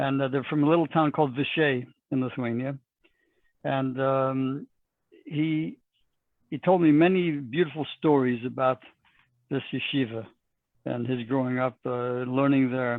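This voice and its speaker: In a Texan accent, a man speaks fairly slowly with long, frequent pauses. His medium-pitched voice keeps fairly even intonation. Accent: Texan American English. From Texas. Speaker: rabbi. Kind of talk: interview.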